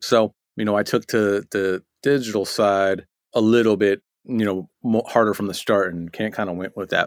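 Here is an ordinary speaking voice: a man with a fairly low pitch and fairly even intonation, talking at a moderate pace. The recording is very clean with a silent background, dry and close with no echo. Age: 40s. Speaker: mixing engineer and producer. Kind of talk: casual interview.

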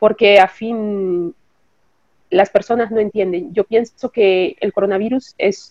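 Speaking very slowly, a woman uses a medium pitch. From Nicaragua, then Costa Rica. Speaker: bereaved mother, hospital worker. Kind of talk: interview testimony.

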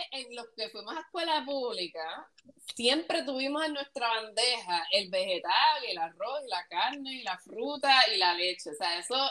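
Her pitch swings very widely as this woman talks in a high, bright, sharp voice. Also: moderate pace. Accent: Puerto Rican. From Puerto Rico. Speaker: podcast co-host. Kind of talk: casual chat.

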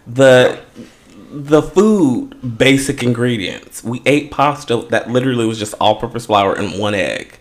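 Speaking fairly slowly in an unremarkable speaking voice, a man with an American accent keeps to a medium pitch. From Los Angeles, US West Coast. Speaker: podcast co-host. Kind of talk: casual chat.

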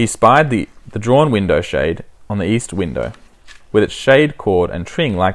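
Lively intonation runs through a passage read aloud in a natural voice.

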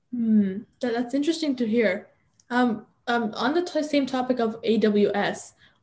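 Somewhat breathy and dark, mellow in tone, a woman's fairly high voice moves with lively intonation. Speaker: podcast host. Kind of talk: interview.

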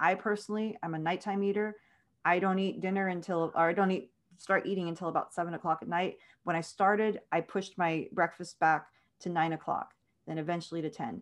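This is a plain, everyday voice with an American accent and fairly even intonation. The background is quiet. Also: woman. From South Texas. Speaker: author. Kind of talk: interview.

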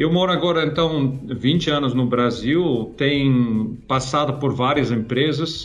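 Over noticeable background noise, a man with a Dutch accent talks very slowly at a medium pitch, his intonation fairly even. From Netherlands. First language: Dutch (speaking Portuguese). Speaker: corporate innovation leader. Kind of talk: interview. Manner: hesitant, with fillers.

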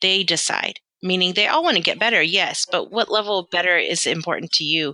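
A woman with an American accent speaks at a moderate pace in a normal speaking voice, her medium pitch showing ordinary variation, recorded with a dry, close sound and no echo. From London, then US South and Southern California. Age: 40s. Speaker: physical therapist and practice owner. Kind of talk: casual interview conversation.

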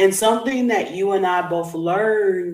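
A woman speaks in a warm, upbeat tone. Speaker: podcast host and coach. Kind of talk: podcast interview hosting.

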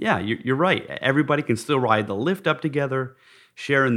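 A man with an American accent talks at a fairly quick pace in a medium pitch, using an ordinary speaking voice. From Park City, Utah. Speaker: podcast host. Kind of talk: interview conversation.

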